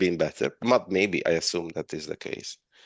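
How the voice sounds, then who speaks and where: A man speaks in an Italian accent at a moderate pace with ordinary pitch variation. The sound is dry and close with no echo, over a quiet background. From Italy. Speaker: webinar moderator. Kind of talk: Q&A discussion. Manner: halting.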